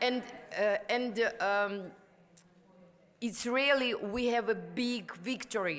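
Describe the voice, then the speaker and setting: A woman with a non-native accent speaks very slowly. Her pitch is fairly high, with ordinary variation. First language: Ukrainian or Russian. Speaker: activist and prostitution survivor. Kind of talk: conference panel speech. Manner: halting.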